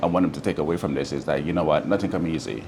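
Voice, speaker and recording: Noticeable background noise behind a man's very deep, low voice. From Jamaica, Saint Thomas parish. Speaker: restaurant owner. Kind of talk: interview. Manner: hesitant, many fillers.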